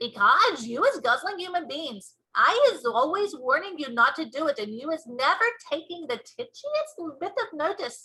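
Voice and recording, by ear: A woman puts on a character voice, high-pitched with a bright, sharp tone and big pitch swings. She goes at a moderate pace with few pauses.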